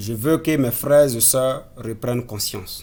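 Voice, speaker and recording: In a Burkinabe accent, a man talks at a fairly slow pace and medium pitch, his tone dark and mellow and his intonation fairly even, with audible room echo. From Burkina Faso. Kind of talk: sermon-style exhortation. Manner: halting, self-correcting.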